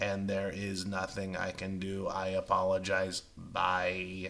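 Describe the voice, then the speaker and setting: A robotic, put-on character voice from a man, very deep and low in pitch, at a fairly slow pace. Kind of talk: flat, no inflection. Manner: emotionless, robotic.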